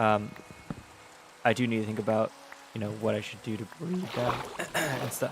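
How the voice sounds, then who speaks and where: Over noticeable background noise, a man talks in a relaxed tone at a medium pitch. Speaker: VTuber gaming streamer. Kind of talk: gameplay commentary. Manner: relaxed, hesitant with many fillers.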